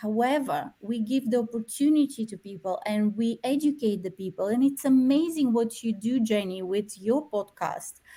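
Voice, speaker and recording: A woman talks at a moderate pace and fairly high pitch, with ordinary pitch variation. Her tone is dark and mellow. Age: 40s. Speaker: therapist. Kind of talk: interview.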